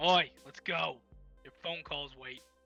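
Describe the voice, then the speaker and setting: A gruff, put-on character voice from a man, with faint music in the background. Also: high pitch for a man. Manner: brusque, commanding.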